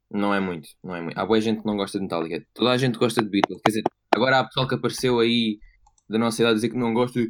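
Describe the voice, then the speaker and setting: Talking at a very fast pace, a man uses a European Portuguese accent. His pitch is medium, with ordinary pitch variation. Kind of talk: casual chat.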